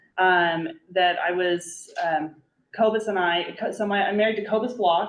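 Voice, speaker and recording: In a Nebraska accent, a woman speaks at medium pitch with monotone, flat intonation. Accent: Midwestern American (Nebraska). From rural Nebraska. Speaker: brewery owner and attorney. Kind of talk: casual talk to a small group. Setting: library community meeting. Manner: many fillers, halting.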